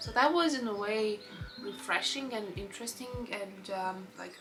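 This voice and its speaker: Over music in the background, a woman speaks with a Lithuanian accent and lively intonation. Her pitch is fairly high, and the room echo is audible. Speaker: book vlogger. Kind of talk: casual book review vlog.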